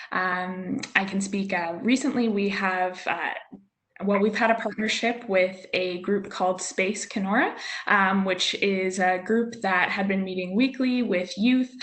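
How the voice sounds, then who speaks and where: A woman speaks at a fairly slow pace in an ordinary speaking voice, at medium pitch with fairly even intonation. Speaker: youth hub staff member. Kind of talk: webinar panel answer.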